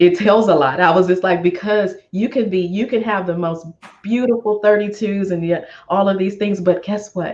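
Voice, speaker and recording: The speaker has an animated tone. The pace is moderate. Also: woman, medium pitch for a woman. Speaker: finance expert and money mentor. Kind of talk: interview.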